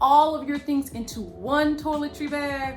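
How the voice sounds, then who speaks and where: Amid noticeable background noise, a woman with an American accent speaks at a high pitch. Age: 50s. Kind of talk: casual talk to camera.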